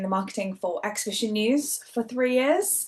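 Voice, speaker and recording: A woman is heard speaking with a Geordie accent. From northern England, Newcastle. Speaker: event marketing manager. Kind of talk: webinar panel talk. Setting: video call.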